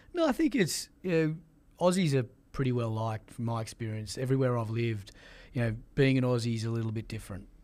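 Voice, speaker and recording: Speaking at a very fast pace, a man talks in an Australian accent. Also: medium pitch for a man, ordinary pitch variation. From Australia, Sydney. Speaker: sports executive. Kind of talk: interview.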